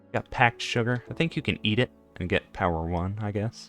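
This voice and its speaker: A man's lively intonation carries over music in the background. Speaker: gamer. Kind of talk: casual gameplay commentary.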